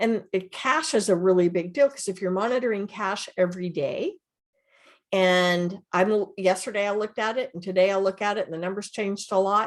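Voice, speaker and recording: Against a quiet background, a woman talks at a fairly quick pace with medium pitch and ordinary pitch variation. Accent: American. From US South, Georgia. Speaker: ERP and finance reporting consultant, guest speaker. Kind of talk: technical presentation to user group. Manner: fast.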